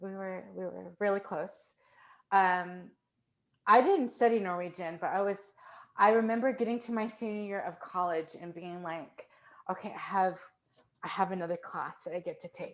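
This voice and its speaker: A woman speaks at a moderate pace with ordinary pitch variation, big swings in loudness, and long, frequent pauses. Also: medium pitch for a woman. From US, Fort Worth, Texas. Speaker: composer. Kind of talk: casual chat.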